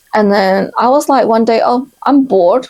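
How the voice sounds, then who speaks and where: A woman has a non-native accent. She talks at a fairly quick pace. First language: not English. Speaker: book video co-host. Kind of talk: casual chat.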